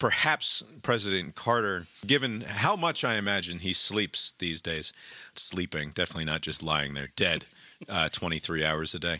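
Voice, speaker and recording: Loud and bright, with a sharp tone, a man speaks at a moderate pace and a very deep, low pitch with ordinary pitch variation, the sound dry and close with no echo. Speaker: podcast host. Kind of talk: casual, rambling, jokey. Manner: loud, talks a lot.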